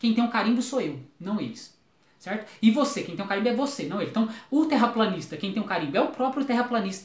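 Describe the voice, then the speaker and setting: At a very fast pace and a high pitch, a man speaks with lively intonation over noticeable background noise. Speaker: YouTuber, philosophy commentator. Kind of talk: video commentary monologue. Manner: halting, with stammers and restarts.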